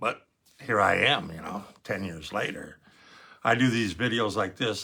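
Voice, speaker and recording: With a bright, sharp tone and fairly low pitch, a man speaks at a moderate pace with ordinary pitch variation in a very clean recording with a silent background. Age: 70s. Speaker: lung cancer survivor vlogger. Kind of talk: personal testimony. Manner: halting.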